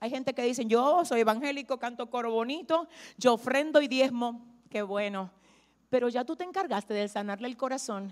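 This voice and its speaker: At a moderate pace, a woman with a high pitch speaks in an animated tone with ordinary pitch variation. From Dominican Republic. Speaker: pastor. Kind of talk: sermon.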